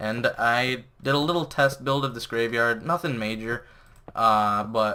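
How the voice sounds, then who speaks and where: A man speaks with a medium pitch and a bright, sharp tone. The recording is very clean, with a silent background. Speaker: gaming video creator. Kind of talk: let's play commentary. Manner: fast; casual.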